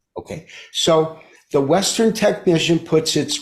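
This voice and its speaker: A man with an American accent speaks at a fairly slow pace. His intonation is lively. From US Midwest, Detroit. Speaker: market analyst. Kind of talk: interview explanation.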